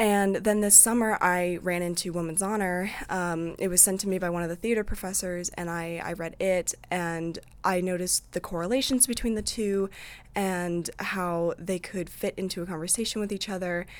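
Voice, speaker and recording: A woman with a Midwestern US accent speaks at a moderate pace, her medium pitch held in a fairly even intonation. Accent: US Midwest. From Iowa, Eldridge near Davenport. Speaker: student theater director. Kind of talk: interview.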